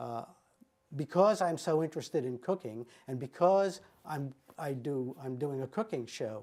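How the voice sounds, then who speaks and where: Lively intonation from a man with a fairly high pitch and a dark, mellow tone. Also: moderate pace. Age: 70s. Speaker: wellness program participant. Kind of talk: testimony. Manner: halting, frequent fillers.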